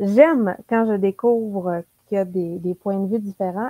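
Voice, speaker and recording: Very slow speech in a Quebec accent, with ordinary pitch variation and a dry, close sound with no echo. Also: woman. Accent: Québécois French. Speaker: book YouTuber. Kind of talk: casual chat.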